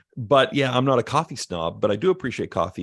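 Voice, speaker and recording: A man with an American accent, with vocal fry, very wide pitch swings and a fairly quick pace, in a dry, close sound with no echo over a quiet background. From Canada (Alberta, Red Deer). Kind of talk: podcast interview. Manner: casual, conversational.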